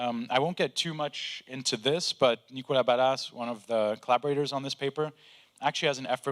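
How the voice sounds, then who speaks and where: A man speaks at a fairly quick pace in a medium pitch, an unremarkable speaking voice. The sound is dry and close with no echo, a very clean recording with a silent background. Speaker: AI researcher. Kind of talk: conference talk.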